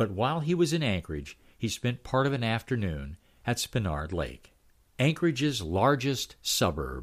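In a very clean recording with a silent background, a man with a warm, relaxed tone and vocal fry swings his pitch very widely. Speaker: newsletter storyteller; local history storyteller. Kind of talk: history documentary narration, read-aloud newsletter. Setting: recorded audio reading. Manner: steady, warm storyteller pacing, relaxed and amused; animated, chuckling at anecdotes.

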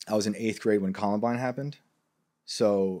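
On a very clean recording with a silent background, a man speaks with fairly even intonation. He has an ordinary speaking voice with a fairly low pitch. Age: 30s. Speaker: writer and former professor. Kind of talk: casual chat. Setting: host's home.

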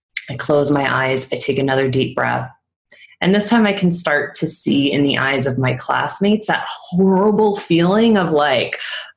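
There is audible room echo as a woman speaks at a moderate pace. Her fairly low voice has lively intonation. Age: 30s. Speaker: speaking coach. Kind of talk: interview.

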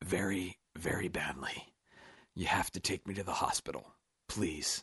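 Putting on a character voice, a man speaks at a fairly slow pace in a low pitch with ordinary variation, his fairly bright tone breathy, strained and carrying a husky, rough edge.

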